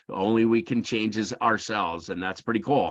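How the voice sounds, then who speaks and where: An unremarkable speaking voice from a man with an American accent, fairly low in pitch, dry and close with no echo, over a quiet background. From USA. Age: 60s. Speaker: emotional intelligence teacher. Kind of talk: lecture. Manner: casual, conversational with many fillers.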